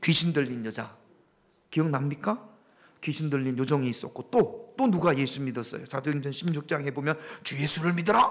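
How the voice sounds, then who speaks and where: In a normal speaking voice, a man with fairly high pitch talks at a moderate pace with lively intonation. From Gyeongsang region, South Korea. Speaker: pastor. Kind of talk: interactive Bible study sermon. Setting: church. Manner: conversational, questioning the congregation.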